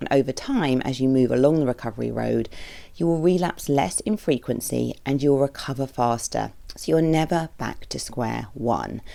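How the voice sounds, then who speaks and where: A woman talks with a British accent. Her pace is moderate. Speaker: therapist podcast host. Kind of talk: podcast monologue.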